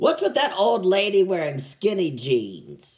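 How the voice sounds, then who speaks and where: Very wide pitch swings from a male speaker, delivered at a moderate pace. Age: 30s. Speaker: stand-up comedian. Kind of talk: stand-up.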